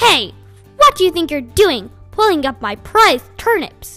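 A woman's put-on character voice, extremely high with very wide pitch swings, at a moderate pace over faint music in the background. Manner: angry.

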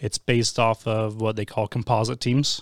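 A man talks fairly slowly in an ordinary speaking voice with medium pitch. The recording is very clean and dry, close with no echo and a silent background. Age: 40s. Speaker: youth mountain biking team director. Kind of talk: casual interview.

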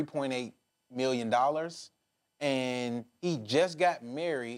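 A man with an American accent speaks at a fairly slow pace in a medium pitch with ordinary pitch variation and a normal speaking voice, on a very clean recording with a silent background. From Detroit, US Midwest. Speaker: podcast host. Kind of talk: interview.

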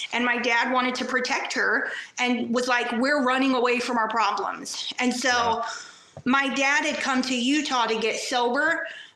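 Over noticeable background noise, a woman speaks at a moderate pace with a high pitch, monotone, flat intonation and very even loudness. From New York. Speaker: addict in recovery, Facebook page creator. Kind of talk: personal story interview.

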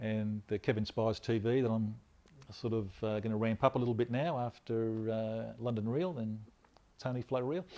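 A speaker with an Australian accent and a dark, mellow tone. The intonation stays fairly even at a moderate pace. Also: man, medium pitch for a man. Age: 50s. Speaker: former police officer, immigration officer, health advocate. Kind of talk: interview, personal story.

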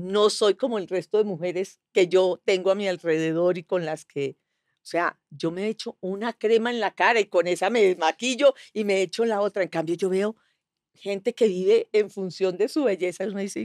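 A woman with an unremarkable speaking voice speaks at medium pitch and a moderate pace, with ordinary pitch variation. The sound is very clean, dry and close, with no echo and a silent background. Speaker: actress. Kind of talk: casual chat.

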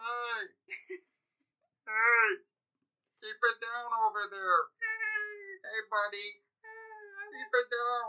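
A put-on character voice, female-sounding and high-pitched, shouting at a very slow pace with long, frequent pauses. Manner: funny, shouting.

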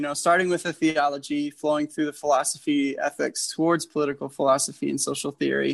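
Against a quiet background, a man with an American accent and an unremarkable speaking voice talks at a fairly quick pace with a fairly high pitch. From US Midwest, Chicago area. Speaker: political activist, former refugee ministry worker. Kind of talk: interview.

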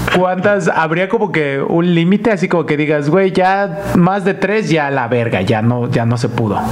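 Speaking with a Mexican accent over noticeable background noise, a man with a high voice talks at a fairly slow pace, hardly pausing, with lively intonation and very even loudness. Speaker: podcast host. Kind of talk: casual chat.

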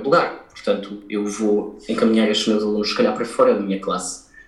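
The speech moves at a fairly quick pace, with audible room echo around it. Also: man. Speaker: violinist. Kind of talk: interview. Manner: halting, many fillers.

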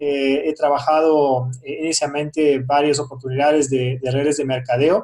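Speaking at a fairly slow pace, a man with a German accent has a fairly high pitch. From Germany. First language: German (speaking Spanish). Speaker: businessman, crypto investor. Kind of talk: interview. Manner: hesitant, many fillers.

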